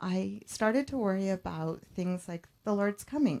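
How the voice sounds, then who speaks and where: A woman's dark, mellow voice at medium pitch, with lively intonation and a moderate pace. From Romania, moved to US at six. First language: Romanian. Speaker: church member giving testimony. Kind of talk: testimony.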